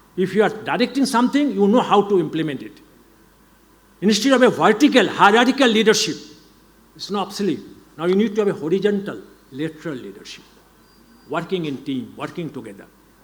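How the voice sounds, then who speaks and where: A man's high pitch and lively intonation at a very fast pace, with big swings in loudness, long, frequent pauses and audible room echo. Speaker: education leader. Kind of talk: lecture.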